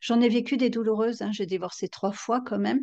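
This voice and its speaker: A woman speaks at a fairly quick pace in a fairly high voice with fairly even intonation; an ordinary speaking voice. The background is quiet. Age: 50s. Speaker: novelist and psychotherapist. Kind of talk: interview.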